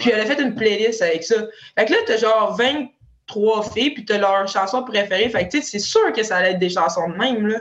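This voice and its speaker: This woman has a normal speaking voice with a fairly high pitch and ordinary pitch variation. She talks at a fairly quick pace. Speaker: professional hockey player. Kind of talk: casual chat.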